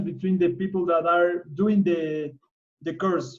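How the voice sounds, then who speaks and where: A man with a Spanish accent, high-pitched, fairly slow and fairly even in intonation. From Ecuador. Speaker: biologist and conservationist. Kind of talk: presentation. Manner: halting.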